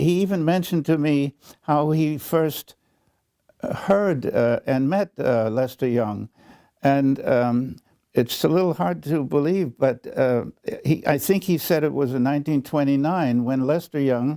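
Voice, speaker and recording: In a dry, close sound with no echo, a man's dark, mellow tone sits at a fairly high pitch, with ordinary pitch variation and very even loudness. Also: fairly slow pace. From New York / German. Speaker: composer, conductor, jazz historian and educator. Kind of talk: interview answer. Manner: hesitant, full of fillers, conversational.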